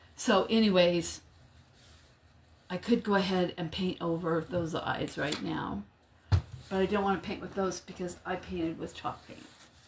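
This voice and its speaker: Over noticeable background noise, a woman at medium pitch speaks at a moderate pace with fairly even intonation, big swings in loudness, and long, frequent pauses. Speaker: crafting livestream host. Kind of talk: live craft tutorial. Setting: livestream. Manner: casual, chatty.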